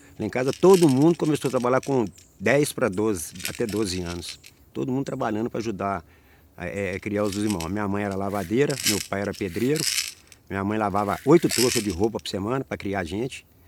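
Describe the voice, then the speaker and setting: With an unremarkable speaking voice pitched fairly low, a man talks at a fairly quick pace with lively intonation. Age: 60s. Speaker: capoeira master. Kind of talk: oral history interview.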